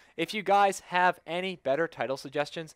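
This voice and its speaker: A man with a plain, everyday voice, moderate pace and ordinary pitch variation, on a very clean recording with a silent background. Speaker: gaming video host. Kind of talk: solo commentary monologue. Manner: casual.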